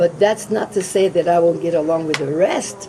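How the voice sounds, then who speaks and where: A fairly quick pace and a fairly low pitch mark a woman's speech as noticeable background noise runs underneath. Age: 70s. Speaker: state senator. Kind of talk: candidate interview.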